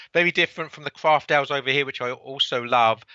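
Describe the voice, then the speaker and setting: A man with a Cockney accent, fairly high-pitched, at a very fast clip. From England, London (Cockney). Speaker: author and book publisher. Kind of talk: podcast interview. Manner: halting, many repeated words.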